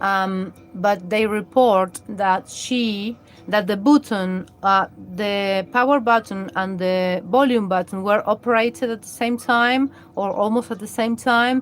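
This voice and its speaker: Speaking in a Latin American accent, a woman keeps a medium pitch and fairly even intonation at a fairly slow pace. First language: Spanish. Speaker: live streamer. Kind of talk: live stream commentary. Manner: halting, many fillers and restarts.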